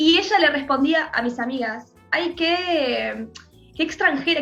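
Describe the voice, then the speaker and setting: A woman with a Uruguayan accent speaks with ordinary pitch variation. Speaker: filmmaker. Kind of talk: interview. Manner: halting.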